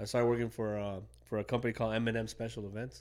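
With an American accent, a man speaks at a very fast pace in a fairly low pitch and monotone, flat intonation, on a very clean recording with a silent background. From Chicago, US. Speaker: food content creator, former Marine. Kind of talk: casual interview. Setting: studio.

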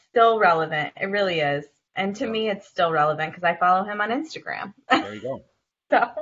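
At a fairly quick pace, a woman speaks in a plain, everyday voice with a medium pitch. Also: lively intonation. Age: 30s. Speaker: podcast co-host. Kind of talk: casual chat.

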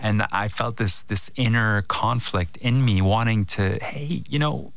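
A man speaks at a medium pitch with lively intonation. Audible room echo surrounds his voice. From Canada. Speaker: filmmaker. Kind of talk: interview conversation.

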